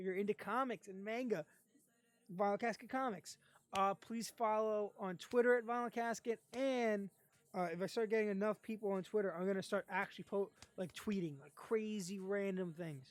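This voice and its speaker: With an ordinary speaking voice, a woman talks at a medium pitch and moderate pace, with ordinary pitch variation and big swings in loudness, the sound dry and close with no echo. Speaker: streamer and comic reviewer. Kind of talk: casual live stream outro. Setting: live stream.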